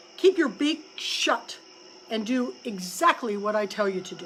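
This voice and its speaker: A woman does a put-on character voice at a fairly high pitch. She keeps a moderate pace over clear background noise. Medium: read story. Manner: calm, terse, authoritative.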